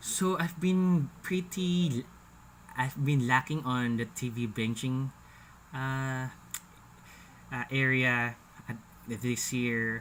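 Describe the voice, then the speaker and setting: A man at medium pitch, very slow, with long, frequent pauses. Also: ordinary pitch variation. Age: 30s. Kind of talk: casual talk to camera. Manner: jittery, hesitant.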